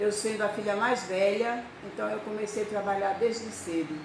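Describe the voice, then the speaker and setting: With noticeable background noise and audible room echo around her, a woman speaks in a fairly high register. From Brazil, rural Bahia. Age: 60s. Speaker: storyteller. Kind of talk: personal life story.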